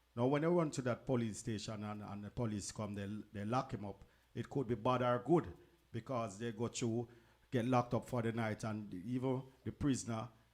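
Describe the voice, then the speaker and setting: With a Jamaican accent, this man talks at a fairly quick pace, his medium pitch showing ordinary variation. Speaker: radio DJ, co-host. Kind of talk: radio talk show.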